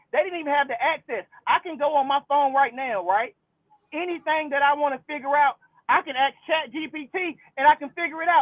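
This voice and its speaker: Speaking at a fairly quick pace, a man with an extremely high pitch sounds animated, with ordinary pitch variation. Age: 30s. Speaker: channel host, debater. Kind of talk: heated debate.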